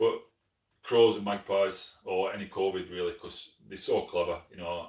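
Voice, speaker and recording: With a Yorkshire accent, a man speaks at a moderate pace. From northern England, Sheffield, South Yorkshire. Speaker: pest control shooter, channel host. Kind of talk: live stream chat reading comments. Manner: casual, conversational.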